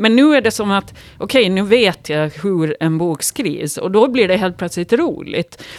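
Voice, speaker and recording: Very wide pitch swings from a woman whose voice sits at a medium pitch. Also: moderate pace. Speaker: writer and yoga teacher. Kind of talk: casual chat. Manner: halting.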